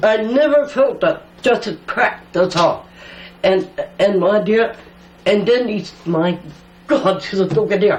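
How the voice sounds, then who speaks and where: At a fairly slow pace with long, frequent pauses, a woman speaks at medium pitch over noticeable background noise. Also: ordinary pitch variation. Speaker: elder storyteller. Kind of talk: oral history interview. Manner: halting.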